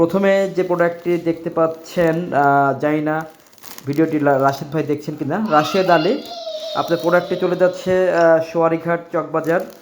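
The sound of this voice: Audible room echo surrounds a man's fairly high voice, which keeps a fairly even intonation. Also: moderate pace, few pauses.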